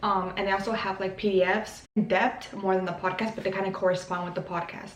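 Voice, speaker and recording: In a Spanish accent, a woman with a medium pitch talks at a fairly quick pace over noticeable background noise and audible room echo. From Mexico. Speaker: YouTuber, language learner. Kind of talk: casual vlog tutorial. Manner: casual, hesitant with many fillers.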